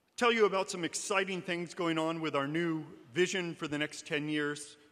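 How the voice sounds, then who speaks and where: A high-pitched man with an American accent, fairly even intonation and a moderate pace. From Alaska, USA. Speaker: university administrator. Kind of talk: welcome speech to audience. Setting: large hall with audience, live stream.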